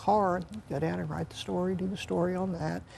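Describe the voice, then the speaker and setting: A woman's fairly low, dark and mellow voice with an American accent, at a fairly quick pace. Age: 60s. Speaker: retiring high school sports writer. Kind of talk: interview. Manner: halting, many fillers and restarts.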